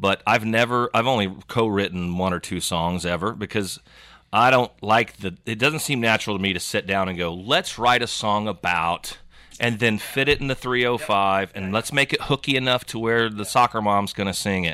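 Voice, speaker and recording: This man talks at a moderate pace with a bright, sharp tone. The recording is very clean, with a silent background. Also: fairly low pitch for a man, ordinary pitch variation. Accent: American. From Oklahoma, Yukon. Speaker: music festival founder. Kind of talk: casual chat. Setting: studio.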